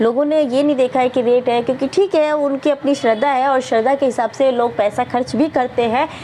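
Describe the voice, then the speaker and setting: Noticeable background noise sits behind a woman whose voice is high-pitched. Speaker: vlogger. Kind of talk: casual vlog monologue. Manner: hesitant with many fillers.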